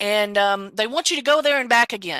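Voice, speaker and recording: Bright and sharp in tone, a woman with a Southern US accent speaks at a fairly high pitch and moderate pace, recorded very cleanly with a silent background and a dry, close sound with no echo. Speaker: podcast co-host. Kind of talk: casual chat.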